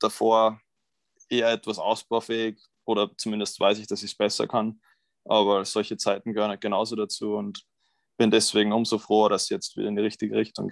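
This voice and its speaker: A man talks at a fairly quick pace in a fairly low, monotone, flat voice. The sound is dry and close with no echo, and the background is quiet. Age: 20s. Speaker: college tennis player. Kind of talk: interview.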